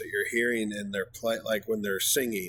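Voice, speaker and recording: In a very clean recording with a silent background, a man with an American accent speaks with lively intonation. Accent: Southern US, comes out sometimes. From US South. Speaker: music reaction youtuber. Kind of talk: casual reaction commentary. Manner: halting, many fillers.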